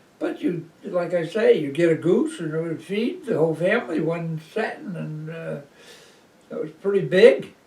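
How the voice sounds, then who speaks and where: A man speaks in an American accent at a moderate pace with big swings in loudness. Noticeable background noise runs behind him. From Cape Cod, Massachusetts. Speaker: former dairy farmer. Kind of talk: oral history interview answer. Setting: living room.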